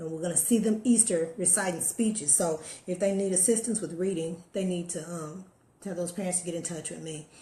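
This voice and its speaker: This woman's voice sits at a medium pitch, with ordinary pitch variation. Audible room echo surrounds her speech. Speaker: motivational live streamer. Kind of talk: casual live stream chat. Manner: fast.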